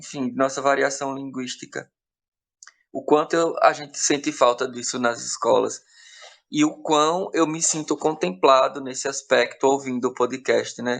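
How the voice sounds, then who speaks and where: A man in a Bahian sertão accent at a fairly slow pace. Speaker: podcast team member. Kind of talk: casual chat. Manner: halting, with repetitions.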